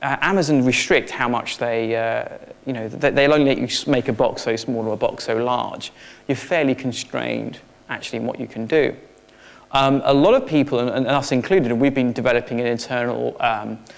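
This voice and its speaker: A man speaks at a fairly quick pace. His pitch is medium, with ordinary pitch variation. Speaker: technology consultant. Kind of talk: conference presentation. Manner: fast; hesitant, with filler words.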